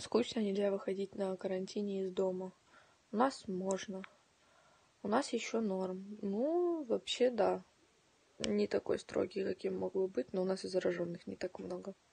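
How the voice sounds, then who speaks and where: Long pauses come often in this somewhat breathy, dark and mellow voice, which moves at a fairly slow pace with ordinary pitch variation. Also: woman. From Donetsk, eastern Ukraine. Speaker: livestreamer. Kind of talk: casual chat. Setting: home livestream. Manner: animated. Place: home room. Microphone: phone near.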